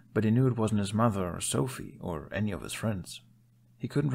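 Someone is reading aloud in a natural voice, the pitch varying in an ordinary way.

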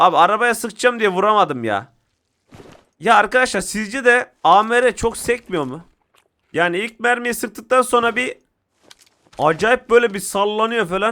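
Speaking in a raised, projected voice, a man with a high pitch and a bright, sharp tone sounds animated, moving at a fairly slow pace with long, frequent pauses and ordinary pitch variation. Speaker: gaming YouTuber. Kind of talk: live gameplay commentary.

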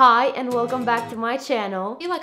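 A woman over clear background music. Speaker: lifestyle vlogger. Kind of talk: casual vlog chat. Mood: playful, expressive. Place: home room.

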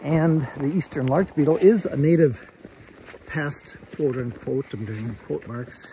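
At a moderate pace and with ordinary pitch variation, a man speaks in a dry sound with no echo amid noticeable background noise. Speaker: nature guide. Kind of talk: casual vlog chat. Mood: cheerful, laughing. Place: forest. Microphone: phone near.

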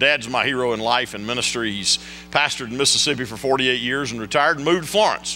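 Faint music plays in the background as a man talks at a very fast pace, with ordinary pitch variation and big swings in loudness. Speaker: guest preacher. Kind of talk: sermon. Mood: warm, humorous. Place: church. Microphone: podium.

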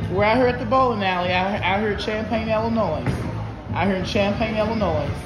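A man talks fairly quickly while music plays in the background. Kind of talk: casual vlog chat. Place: hall. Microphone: phone near.

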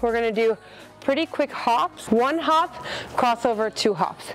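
This woman's voice has ordinary pitch variation. Faint music plays in the background. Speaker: fitness instructor. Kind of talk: workout tutorial. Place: street. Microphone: lapel.

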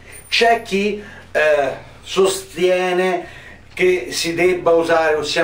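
Audible room echo surrounds a man whose high voice keeps a fairly even intonation. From Italy. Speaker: firearms channel host. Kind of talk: tutorial.

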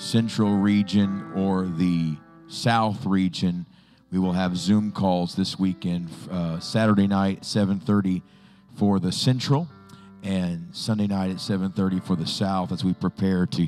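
With faint music in the background, a man speaks very slowly at a very deep, low pitch. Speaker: pastor. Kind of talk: church announcements. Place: church.

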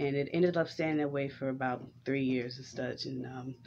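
A woman speaks with an American accent and a very deep, low pitch. Light background noise can be heard. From Houston, Texas (Fifth Ward). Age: 30s. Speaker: vlogger and entrepreneur. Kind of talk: casual vlog monologue. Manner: halting, many fillers. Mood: warm, reflective, smiling. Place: home room. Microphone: webcam.

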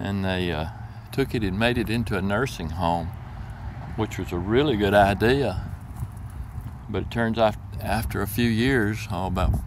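Heard in a dry sound with no echo over light background noise, a man talks at a moderate pace. He has a fairly low pitch with ordinary variation. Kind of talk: casual vlog commentary. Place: open country. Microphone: phone near.

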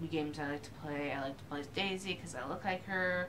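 Amid noticeable background noise, a woman speaks with ordinary pitch variation. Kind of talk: casual vlog chat.

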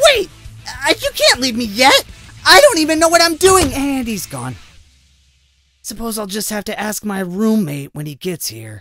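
A man puts on a character voice, raised and projected at a high pitch, with big swings in loudness. He keeps a moderate pace broken by long, frequent pauses, with faint music in the background. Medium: dub.

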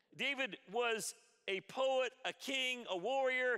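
A man speaks in a raised, projected voice. Behind him the background is quiet. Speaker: pastor. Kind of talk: sermon. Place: church. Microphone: headset.

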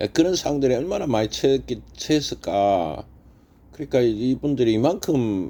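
Speaking with a Gyeongsang accent, a man with a dark, mellow tone lets his pitch swing very widely. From Gyeongsang region, South Korea. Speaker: stock market YouTuber. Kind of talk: casual monologue. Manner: animated.

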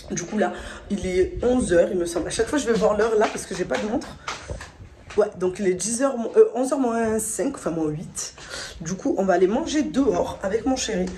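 A woman speaks at a moderate pace with lively intonation and long, frequent pauses over light background noise. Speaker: vlogger. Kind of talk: casual vlog chat. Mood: cheerful, slightly excited. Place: home room. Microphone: phone near.

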